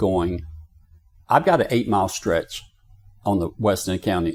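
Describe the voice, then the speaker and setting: A man with a Southern US accent is captured on a very clean recording against a silent background. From US South, Florida Panhandle. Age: 60s. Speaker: county commissioner. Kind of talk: interview. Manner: animated.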